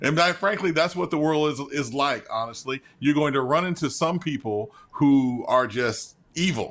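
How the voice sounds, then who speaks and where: With an American accent, a man talks at a moderate pace in a fairly high voice with ordinary pitch variation. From US South, Memphis and northern Mississippi. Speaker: journalist and author. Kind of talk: interview. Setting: video call.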